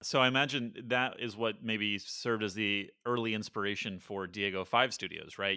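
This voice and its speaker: Here is a man with an ordinary speaking voice. He talks at a moderate pace with fairly even intonation. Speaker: podcast host. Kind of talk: casual interview.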